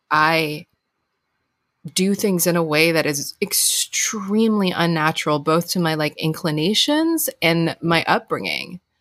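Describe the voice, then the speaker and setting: In a normal speaking voice with an American accent, the speaker talks at a fairly slow pace with ordinary pitch variation and very even loudness on a very clean recording with a silent background. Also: woman, fairly low pitch for a woman. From Hong Kong, then US from teens. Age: 40s. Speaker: author and podcast host. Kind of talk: casual interview chat.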